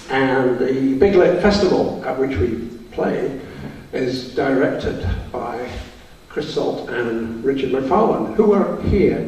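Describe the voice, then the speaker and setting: Amid noticeable background noise and audible room echo, a man of medium pitch speaks at a very slow pace with lively intonation. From Scotland. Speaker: band leader and composer. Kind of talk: concert introduction. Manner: jokey, relaxed.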